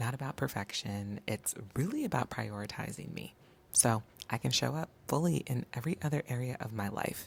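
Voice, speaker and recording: Very deep and low for a woman, her voice carries lively intonation at a moderate pace in a very clean recording with a silent background. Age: 30s. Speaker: lifestyle vlogger. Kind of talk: vlog voiceover. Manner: casual.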